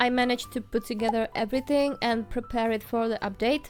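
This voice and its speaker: The speaker is a woman with a fairly high pitch. She has a non-native accent. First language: not English. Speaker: art vlogger and small shop owner. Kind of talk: casual vlog voiceover. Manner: warm, friendly.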